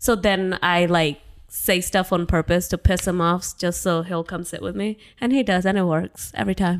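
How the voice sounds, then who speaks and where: A woman with a fairly low pitch keeps a moderate pace and fairly even intonation in a very clean recording with a silent background. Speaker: guest, wife and new mom. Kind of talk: casual chat, joking banter.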